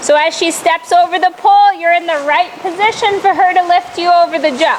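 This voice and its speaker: A woman is shouting loudly at a moderate pace with ordinary pitch variation. Noticeable background noise runs underneath. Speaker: riding instructor. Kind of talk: riding lesson coaching. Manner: loud, yelling.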